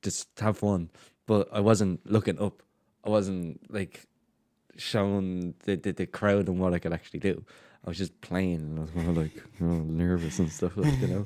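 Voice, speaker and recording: On a very clean recording with a silent background, a man with a Dublin accent speaks with a very deep, low pitch and a dark, mellow tone. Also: ordinary pitch variation, moderate pace. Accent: Dublin Irish. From Ireland, Dublin. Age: 20s. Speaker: DJ and promoter. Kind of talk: casual chat.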